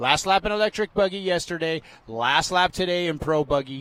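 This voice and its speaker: The man keeps to a moderate pace, and his pitch shifts in an ordinary way. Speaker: race commentator. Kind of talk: live commentary. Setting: commentary booth at race track. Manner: animated.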